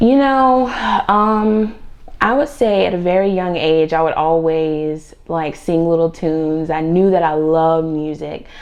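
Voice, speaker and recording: With an American accent, a woman speaks fairly slowly at a fairly low pitch with lively intonation, and audible room echo surrounds her voice. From Virginia and North Carolina. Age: 20s. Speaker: R&B singer. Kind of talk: interview. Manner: hesitant, many fillers.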